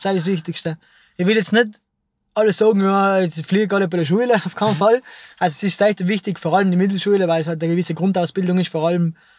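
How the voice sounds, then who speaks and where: A man speaks in a South Tyrolean accent with a high pitch and fairly even intonation. His fairly quick delivery comes through on a very clean recording with a silent background. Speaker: filmmaker. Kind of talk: casual chat.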